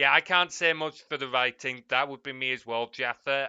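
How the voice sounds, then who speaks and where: Here a man speaks with an English accent at a medium pitch. He keeps a moderate pace and fairly even intonation. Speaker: streamer. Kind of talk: casual chat. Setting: live stream.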